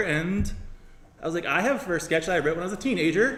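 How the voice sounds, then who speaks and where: A very fast delivery over noticeable background noise. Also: man. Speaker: podcast host. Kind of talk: live podcast hosting.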